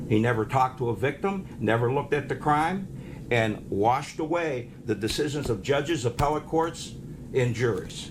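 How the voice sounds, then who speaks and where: A man with an American accent speaks at a very even loudness, his pitch varying in an ordinary way, over noticeable background noise. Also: medium pitch for a man, moderate pace. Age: 70s. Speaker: county prosecutor. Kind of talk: news interview. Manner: forceful.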